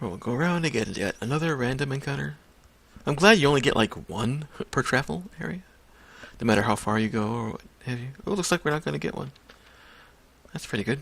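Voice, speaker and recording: Mumbling at a very fast pace, a man at a medium pitch swings his pitch very widely and takes long, frequent pauses. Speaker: gaming video creator. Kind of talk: let's play commentary. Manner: casual, hesitant.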